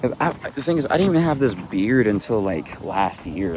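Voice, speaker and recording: A man talks fairly quickly with lively intonation amid noticeable background noise. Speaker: vlogger. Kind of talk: casual vlog monologue. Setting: outdoors, walking in a park.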